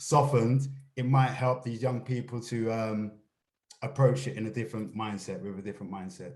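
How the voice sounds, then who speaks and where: A man talks at a moderate pace and a medium pitch, somewhat breathy, with fairly even intonation. His loudness shifts in big swings. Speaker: stop and search campaign staff. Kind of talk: panel discussion. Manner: uses slang, hard to tone down.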